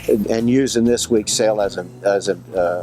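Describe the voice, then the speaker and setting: A man speaks at a moderate pace with an American accent, his pitch fairly low and his intonation fairly even. Music plays in the background. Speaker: auctioneer. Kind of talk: interview answer.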